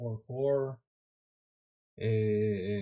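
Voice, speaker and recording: Fairly even intonation marks this man's speech. He has a Spanish accent. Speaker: software developer streamer. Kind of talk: live coding stream. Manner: halting.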